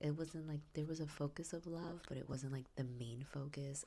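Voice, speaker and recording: Soft-spoken delivery at a fairly quick pace. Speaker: book vlogger. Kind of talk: casual vlog. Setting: in bed.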